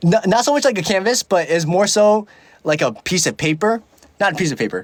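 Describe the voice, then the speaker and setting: A man with a high voice, lively intonation, very even loudness and a fairly quick pace. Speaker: livestreamer. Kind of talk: casual livestream chat. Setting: livestream. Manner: filler-heavy, halting speech.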